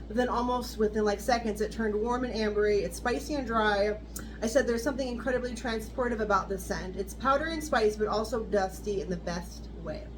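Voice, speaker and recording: A woman talks at a fairly quick pace with an American accent. Room echo is audible, and background noise is noticeable. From US West Coast (southern California). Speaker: fragrance reviewer. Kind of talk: product review. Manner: reading notes aloud.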